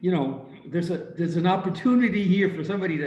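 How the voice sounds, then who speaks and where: A man talks at a high pitch. Audible room echo surrounds his voice. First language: Ukrainian. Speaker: audience participant. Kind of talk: audience Q&A comment.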